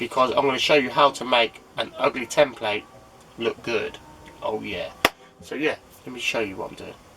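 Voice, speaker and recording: Over noticeable background noise, the speech runs at a fairly quick pace. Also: man. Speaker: DIY vlogger. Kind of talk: casual vlog.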